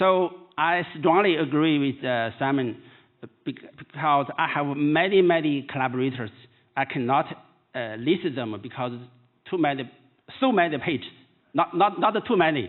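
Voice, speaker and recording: Pausing long and often, a man with a Chinese accent speaks at a moderate pace in a fairly high voice with lively intonation. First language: Mandarin Chinese. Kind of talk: keynote lecture. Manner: halting.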